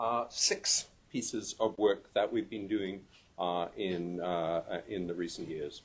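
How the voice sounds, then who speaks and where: A man speaks at a very slow pace. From UK-born, raised partly in Canada and New Zealand. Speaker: professor. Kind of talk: conference talk. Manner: many fillers (um, uh).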